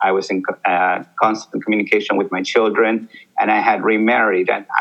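A man is speaking. He has a Spanish accent. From Peru. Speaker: army veteran. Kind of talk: interview.

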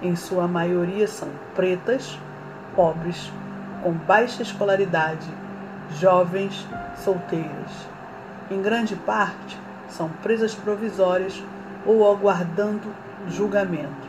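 A woman's medium-pitched voice, very slow with long, frequent pauses and fairly even intonation, with audible room echo and music in the background. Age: 40s. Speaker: journalism student and social activist. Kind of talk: scripted narration. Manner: formal.

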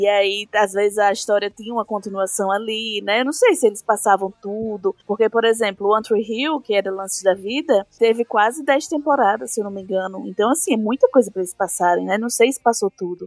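A woman at fairly high pitch and a fairly quick pace, with hardly any pauses, ordinary pitch variation, music in the background and a dry, close sound with no echo. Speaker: podcast co-host. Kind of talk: casual chat.

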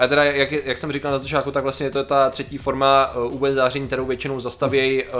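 Noticeable background noise sits behind a voice that moves at a very fast pace in monotone, flat intonation. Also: man, fairly high pitch for a man, hardly any pauses. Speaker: podcast co-host. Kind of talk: casual chat.

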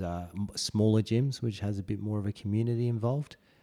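A man with an Australian accent has a dark, mellow tone and fairly even intonation. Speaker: podcast co-host, parent of a newborn. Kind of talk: casual chat. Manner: hesitant with fillers.

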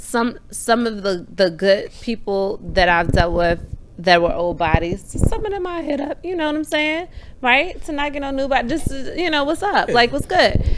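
Amid noticeable background noise, a woman with an American accent speaks at a moderate pace. Her high-pitched voice is animated in tone and swings very widely in pitch. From Maryland, PG County. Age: 20s. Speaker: barber and podcast host. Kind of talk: casual chat.

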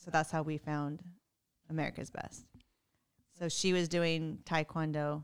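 On a very clean recording with a silent background, a woman speaks in a very deep, low pitch. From Texas. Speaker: podcast host. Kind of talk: casual chat. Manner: animated.

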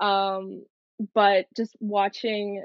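A woman with a Western Canadian accent speaks at a medium pitch. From Canada, Coquitlam BC. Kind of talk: interview.

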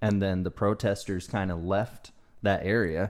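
An ordinary speaking voice from a man with an American accent, fairly low in pitch, with ordinary pitch variation, a fairly slow pace and a very clean recording with a silent background. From US South. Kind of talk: casual chat.

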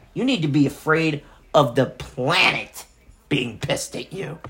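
Over noticeable background noise, a furious man with an American accent speaks slowly-ish in a fairly high pitch with ordinary pitch variation. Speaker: political podcast host. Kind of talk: profane angry rant aimed directly at a public figure. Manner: furious, cursing, insult-hurling; taunting, confrontational direct address.

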